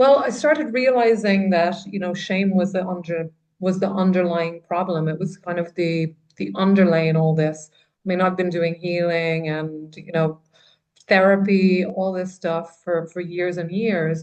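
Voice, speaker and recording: A woman speaks at a fairly slow pace in a fairly low pitch with ordinary pitch variation. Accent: Irish. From Ireland. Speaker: trauma writer and coach. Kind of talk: podcast interview.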